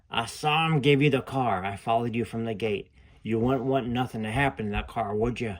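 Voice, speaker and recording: Putting on a croaky character voice, a man talks at a fairly quick pace with a medium pitch. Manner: halting, menacing.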